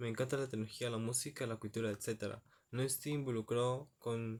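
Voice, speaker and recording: The man speaks at a moderate pace and medium pitch, with monotone, flat intonation. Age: 20s. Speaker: university student. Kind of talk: class presentation. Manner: halting.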